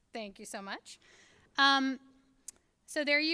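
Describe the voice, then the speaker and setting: With a bright, sharp tone, a woman speaks at a fairly quick pace and ordinary pitch variation. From Kentucky, rural Appalachia. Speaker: author and education speaker. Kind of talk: lecture.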